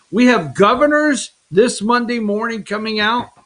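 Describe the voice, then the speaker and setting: A man speaks loudly at a high pitch. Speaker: political talk show host. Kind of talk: political opinion talk show. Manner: animated.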